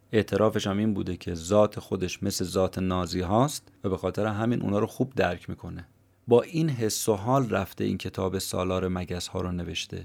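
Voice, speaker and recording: A man with a plain, everyday voice speaks at a moderate pace and a fairly low pitch, with ordinary pitch variation. The recording is very clean, with a silent background. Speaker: podcast host summarizing books. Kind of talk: scripted narration.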